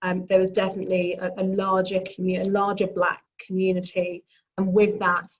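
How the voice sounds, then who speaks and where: A woman in a London accent, medium pitch and monotone, flat intonation. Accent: British (London). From London, England. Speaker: business executive and speaker. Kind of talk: panel talk. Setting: video call. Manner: halting, many fillers.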